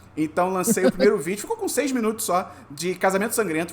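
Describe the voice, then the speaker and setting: With an animated tone and noticeable background noise, a man talks at a very fast pace. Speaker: podcast host. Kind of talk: casual chat.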